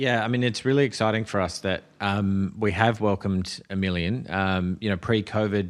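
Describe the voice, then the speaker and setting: A man's fairly low voice in an Australian accent, at a moderate pace with hardly any pauses, fairly even intonation, and very even loudness, over a quiet background. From Australia, Adelaide. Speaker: tourism board executive. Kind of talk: podcast interview. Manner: hesitant, many fillers.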